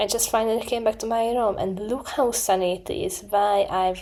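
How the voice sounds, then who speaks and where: With an Eastern European accent, a woman speaks at a fairly high pitch in a dark, mellow tone with ordinary pitch variation. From Hungary. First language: Hungarian. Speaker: student vlogger. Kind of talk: vlog narration. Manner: casual, self-deprecating.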